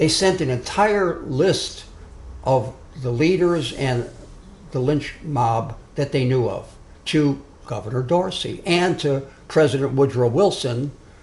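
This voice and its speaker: A man's fairly high voice at a very slow pace, amid audible room echo. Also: ordinary pitch variation. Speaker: social justice activist giving a talk. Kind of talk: lecture. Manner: loud.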